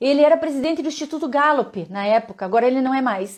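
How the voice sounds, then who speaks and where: Here a woman talks at a fairly quick pace in a high pitch. Her tone is animated and her intonation lively. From Curitiba, Paraná, southern Brazil. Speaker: leadership speaker. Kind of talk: live-stream talk to viewers. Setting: Instagram live.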